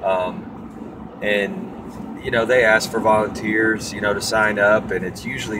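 A man with a fairly low pitch speaks at a fairly slow pace. Noticeable background noise is present. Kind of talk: casual vlog chat. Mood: reflective, personal. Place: car. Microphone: phone near.

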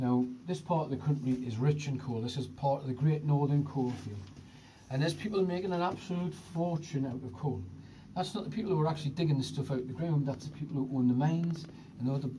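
Somewhat breathy, a man speaks at a very fast pace with ordinary pitch variation against light background noise. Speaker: tour guide. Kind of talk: guided tour narration. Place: tunnel cave. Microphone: phone near.

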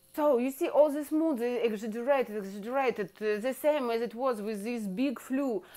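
A woman's high, dark and mellow voice at a moderate pace with hardly any pauses, ordinary pitch variation and a quiet background. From Russia. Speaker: video blogger. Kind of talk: monologue to camera, political commentary, comedic. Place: kitchen. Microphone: earbuds.

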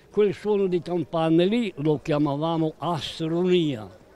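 Noticeable background noise sits under the speech. The pace is fairly slow, with ordinary pitch variation. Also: man. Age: 80s+. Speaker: elderly local resident. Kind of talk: interview, reminiscing.

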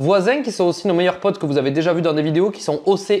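A man is heard against a quiet background. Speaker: home renovation vlogger. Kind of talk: casual vlog chat. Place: home room. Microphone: lapel.

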